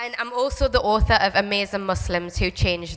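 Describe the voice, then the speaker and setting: A woman with a Geordie accent talks at a fairly quick pace. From northern England, Newcastle. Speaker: children's author. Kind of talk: school talk to children. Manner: animated.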